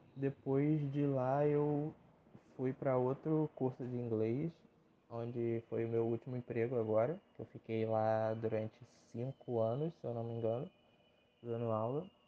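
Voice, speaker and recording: A man talks at a fairly slow pace, leaving long, frequent pauses. His pitch is medium, and his intonation is fairly even. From Rio de Janeiro, Brazil. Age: 20s. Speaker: podcaster. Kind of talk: casual solo podcast monologue. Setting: home recording. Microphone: phone mic.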